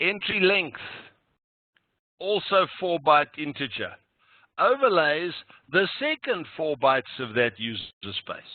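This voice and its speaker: A man speaks fairly slowly at a high pitch. His pitch swings very widely, and he pauses long and often. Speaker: programming instructor. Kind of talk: lecture. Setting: online meeting recording. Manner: slow, deliberate.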